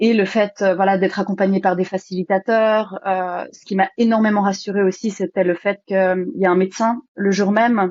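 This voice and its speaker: A woman talks in a flat monotone with hardly any pauses. Her loudness swings widely. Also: medium pitch for a woman, moderate pace. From Switzerland, Geneva. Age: 20s. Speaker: retreat participant. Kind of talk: testimony. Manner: halting, many fillers.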